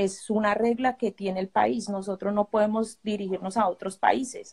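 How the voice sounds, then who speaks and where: Somewhat breathy, the voice moves at a moderate pace with fairly even intonation against a quiet background. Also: woman. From Colombia. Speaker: refugee. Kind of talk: testimony. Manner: halting. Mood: worried, grateful. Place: home room. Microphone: phone near.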